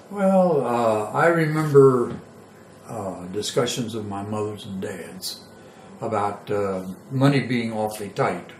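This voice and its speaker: A man's medium-pitched voice with an American accent, very slow, with big swings in loudness, audible room echo and music in the background. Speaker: war veteran. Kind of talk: oral history interview. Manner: halting.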